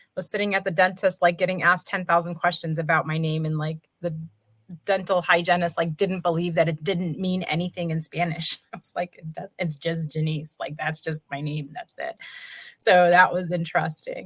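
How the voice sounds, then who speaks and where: A woman with an American accent talks at a moderate pace in a fairly low pitch and a monotone, flat delivery. Her loudness swings widely, and the sound is dry and close with no echo. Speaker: panel guest. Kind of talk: casual chat.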